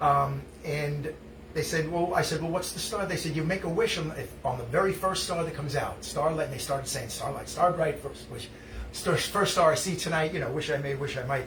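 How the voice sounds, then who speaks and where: A man talks at a fairly quick pace and a fairly high pitch, with ordinary pitch variation. Noticeable background noise and audible room echo come through. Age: 60s. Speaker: musician hosting a live stream. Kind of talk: casual chat. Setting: live stream. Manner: halting.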